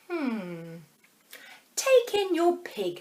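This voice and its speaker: A woman puts on a character voice. Her pitch is extremely high. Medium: read story. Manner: calm, deliberate, musing.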